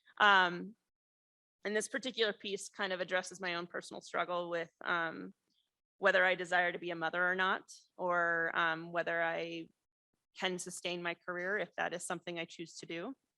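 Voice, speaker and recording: Heard dry and close with no echo against a quiet background, a woman speaks in a fairly low, bright, sharp voice at a moderate pace with monotone, flat intonation. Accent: Midwestern American. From US Midwest, rural Missouri. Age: 30s. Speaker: ceramic artist and professor. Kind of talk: artist talk. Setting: lecture hall with audience. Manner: casual, many filler words.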